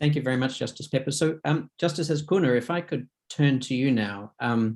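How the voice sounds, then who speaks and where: This man has an Australian accent and a fairly high pitch. He speaks at a fairly quick pace with ordinary pitch variation. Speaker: conference moderator. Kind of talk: panel discussion.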